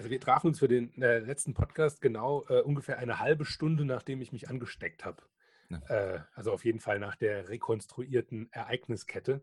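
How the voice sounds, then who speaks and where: A man's voice, medium in pitch and somewhat breathy, moves at a fairly quick pace with ordinary pitch variation, the sound dry and close with no echo. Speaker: podcast co-host. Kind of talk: casual chat. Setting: remote recording over the internet. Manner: halting, many fillers.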